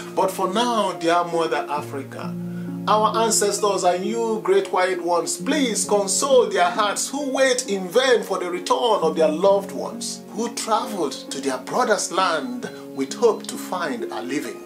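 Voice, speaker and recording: Over clear music in the background, a man speaks at a fairly slow pace. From Africa. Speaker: poet. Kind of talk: poetry reading. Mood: grieving, pleading.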